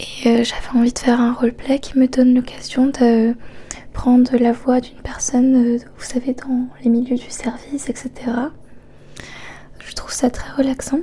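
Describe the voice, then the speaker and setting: Soft-spoken and monotone, a woman talks at a fairly slow pace and high pitch over noticeable background noise. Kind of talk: casual talk to camera introducing the video.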